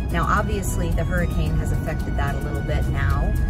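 A woman's voice comes through over loud background music. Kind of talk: casual vlog chat. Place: car. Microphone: phone near.

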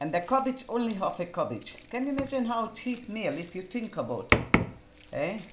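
A woman speaks at a moderate pace while loud background noise fills the recording. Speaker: home cook. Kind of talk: cooking tutorial. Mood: warm, chatty. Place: kitchen. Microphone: camera far.

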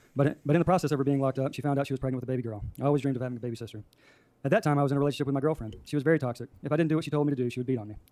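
A man speaks at a very fast pace in a fairly high pitch. His tone is dark and mellow, with fairly even intonation and a dry sound with no echo. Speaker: public commenter. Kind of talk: reading aloud. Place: hall. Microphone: podium.

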